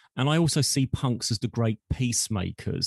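With a normal speaking voice, a man at medium pitch talks with ordinary pitch variation, the sound dry and close with no echo and the background quiet. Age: 50s. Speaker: marketing executive and podcast host. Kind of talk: interview.

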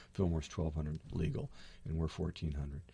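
A man talks in an American accent with a dark, mellow tone. His voice is somewhat breathy. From Berkeley, California. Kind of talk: radio interview. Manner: hesitant with fillers.

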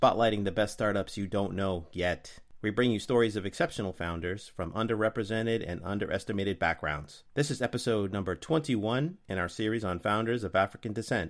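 A plain, everyday voice: a man's fairly low pitch at a fairly quick pace, hardly any pauses and ordinary pitch variation, on a very clean recording with a silent background. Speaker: podcast host. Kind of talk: interview.

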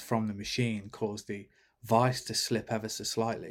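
A man with a British accent and a medium pitch speaks with fairly even intonation on a very clean recording with a silent background. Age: 40s. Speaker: bike company founder. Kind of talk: interview. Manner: halting.

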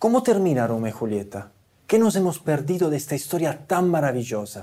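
His tone is dark and mellow, and his pitch swings very widely. The man's recording is very clean, against a silent background. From Italy. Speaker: theatre musician. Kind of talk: talk to an audience.

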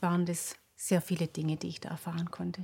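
On a very clean recording with a silent background and a dry, close sound with no echo, a woman speaks at a moderate pace, somewhat breathy, with a dark, mellow tone and fairly even intonation. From Swabia, near Stuttgart. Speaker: pediatric osteopath. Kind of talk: interview. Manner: halting, many fillers.

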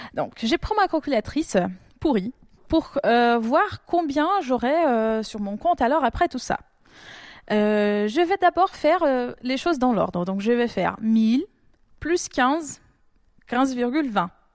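A woman speaks in a sing-song way at a high pitch with very wide pitch swings, moving at a very slow pace with long, frequent pauses. The recording is very clean with a silent background and a dry, close sound with no echo. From Brazil. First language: Portuguese (speaking French). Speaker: doctoral student in probability. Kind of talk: casual chat. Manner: sing-song intonation.

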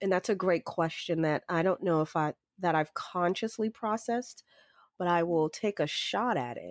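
With an American accent and a plain, everyday voice, a woman speaks at a moderate pace and fairly low pitch with ordinary pitch variation, in a very clean recording with a silent background and a dry, close sound with no echo. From Boston, US. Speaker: consultant and former city resilience officer. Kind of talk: interview conversation.

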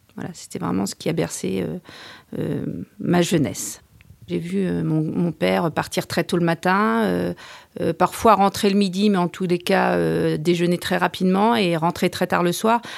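The recording is very clean with a silent background as a woman talks fairly slowly. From France, Orléans. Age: 40s. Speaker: lawyer, burnout survivor. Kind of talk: personal testimony. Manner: halting.

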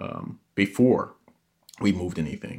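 A man speaks at a fairly slow pace. The recording is very clean with a silent background. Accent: American. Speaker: host's brother. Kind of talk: casual chat.

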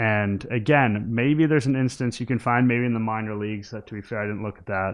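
Using a normal speaking voice, a man talks at a medium pitch with ordinary pitch variation. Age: 20s. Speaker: podcast host, baseball writer. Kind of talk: casual chat.

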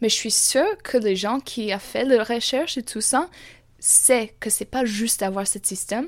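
Using ordinary pitch variation, a woman with an English accent speaks fairly slowly at a fairly high pitch. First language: English (speaking French). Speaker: university student. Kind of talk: interview. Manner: halting.

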